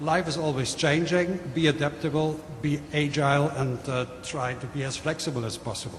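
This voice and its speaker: There's audible room echo and noticeable background noise around a man speaking with a German accent. His pitch is fairly high, his pace moderate, and he hardly pauses. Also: fairly even intonation. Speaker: manufacturing executive. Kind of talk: panel presentation. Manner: hesitant, with fillers.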